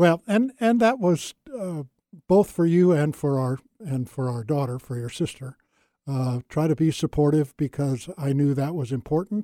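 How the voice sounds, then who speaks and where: In a very clean recording with a silent background and a dry, close sound with no echo, a man with an American accent speaks at a moderate pace in a fairly high pitch with a dark, mellow tone. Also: lively intonation. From California. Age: 70s. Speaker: retired pastor. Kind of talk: casual interview conversation.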